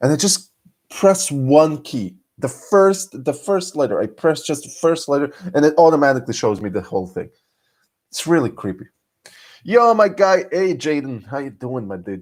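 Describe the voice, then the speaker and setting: In an animated tone, a man with a fairly high pitch speaks at a moderate pace, with very wide pitch swings and big swings in loudness, on a very clean recording with a silent background. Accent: Serbian. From Serbia. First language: Serbian. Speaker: streamer. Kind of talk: live stream chat. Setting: lying in bed at night.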